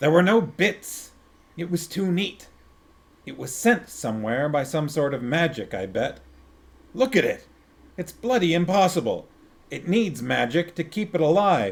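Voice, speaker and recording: In a gruff, put-on character voice pitched high, a man talks at a moderate pace with lively intonation and long, frequent pauses. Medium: read story. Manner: gruff, bitter.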